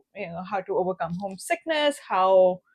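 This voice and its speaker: A woman with a non-native accent speaks at medium pitch with lively intonation. The sound is dry and close with no echo, and the background is quiet. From India. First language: not English. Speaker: podcast co-host. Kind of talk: casual chat.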